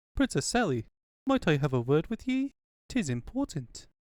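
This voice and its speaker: A man puts on a character voice pitched high. He talks at a moderate pace with very wide pitch swings. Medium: fan dub. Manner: firm, old-fashioned.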